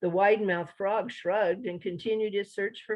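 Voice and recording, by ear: The speaker is reading aloud in a natural voice, keeping intonation fairly even.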